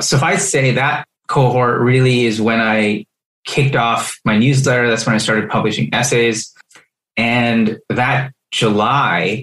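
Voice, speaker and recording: A plain, everyday voice from a man at medium pitch, fairly slow in pace, with ordinary pitch variation and very even loudness. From Middle East, then Canada. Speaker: startup founder and writer. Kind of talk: interview podcast.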